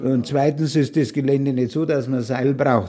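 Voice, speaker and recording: Dark, mellow male speech at a moderate pace. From Munich, Bavaria. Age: 80s. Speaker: retired mountaineer, expedition veteran. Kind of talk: storytelling interview.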